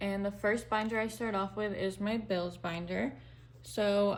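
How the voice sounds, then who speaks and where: A woman's unremarkable speaking voice, medium in pitch, with ordinary pitch variation at a moderate pace. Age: 20s. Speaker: budgeting vlogger. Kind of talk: casual tutorial. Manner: casual, with fillers.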